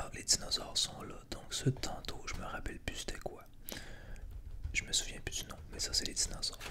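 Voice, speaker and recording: A man whispers with big swings in loudness and long, frequent pauses. Noticeable background noise runs beneath him. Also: moderate pace. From Quebec. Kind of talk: ASMR board game presentation. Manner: whispered.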